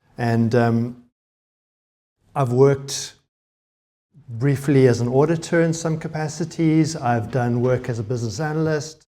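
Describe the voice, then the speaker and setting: A man with a South African accent, fairly high-pitched, with ordinary pitch variation, a dark, mellow tone, and long, frequent pauses. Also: fairly slow pace. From South Africa, Cape Town. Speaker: conference speaker, web developer. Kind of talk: conference talk. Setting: stage with audience.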